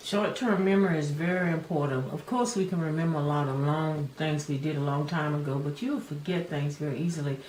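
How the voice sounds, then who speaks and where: Words come at a fairly quick pace with hardly any pauses and ordinary pitch variation, over noticeable background noise and audible room echo. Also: woman, very deep, low pitch for a woman. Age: 70s. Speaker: video host discussing aging. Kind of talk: casual chat.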